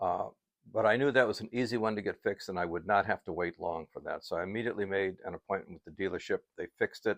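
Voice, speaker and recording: The sound is dry and close with no echo as a man talks very fast, his fairly low pitch showing ordinary variation. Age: 70s. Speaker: car rental host. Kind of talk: casual talk to camera. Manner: down-to-earth, conversational.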